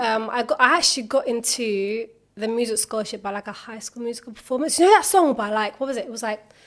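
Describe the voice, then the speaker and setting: Talking at a very fast pace with hardly any pauses, a woman with a London accent uses a fairly high pitch, ordinary pitch variation and big swings in loudness. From South London. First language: Turkish. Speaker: singer. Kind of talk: podcast interview. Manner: casual, filler-heavy.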